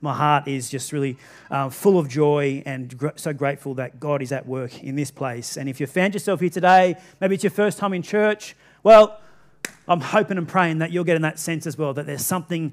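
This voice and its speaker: At a fairly quick pace and with ordinary pitch variation, a man speaks over a quiet background. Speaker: pastor. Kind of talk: sermon. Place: church.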